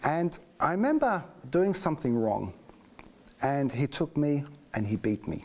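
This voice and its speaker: With a slight English accent, a man speaks at a fairly high pitch and a moderate pace. His pitch swings very widely, and he takes long, frequent pauses. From England, just north of London. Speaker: interviewee sharing faith story. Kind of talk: personal testimony. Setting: studio.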